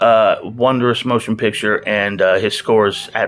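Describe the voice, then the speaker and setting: Here a man speaks at a medium pitch with fairly even intonation. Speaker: movie reviewer. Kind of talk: casual monologue. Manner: fast.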